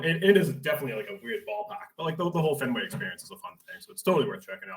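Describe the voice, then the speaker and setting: A man with a Boston accent talks very fast, with hardly any pauses and lively intonation. His loudness swings widely. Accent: thick Boston. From Boston area, Massachusetts. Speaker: teacher. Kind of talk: casual chat.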